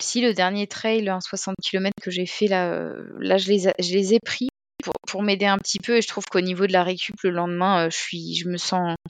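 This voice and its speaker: At a fairly slow pace, a woman speaks in a monotone, flat intonation at medium pitch, with a dry, close sound and no echo. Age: 30s. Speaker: amateur trail runner. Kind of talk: casual interview. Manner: hesitant, many fillers.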